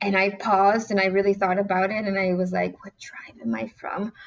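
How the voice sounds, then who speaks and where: A woman talks at a moderate pace. Noticeable background noise sits behind her voice. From southwest Detroit, US Midwest. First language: Spanish is her second language, English first. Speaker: city council member. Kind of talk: interview.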